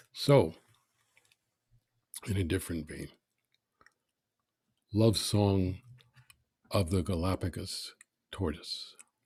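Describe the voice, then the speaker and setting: In a somewhat breathy, very deep, low voice, a man speaks at a very slow pace with long, frequent pauses and ordinary pitch variation. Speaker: poet. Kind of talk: poetry reading.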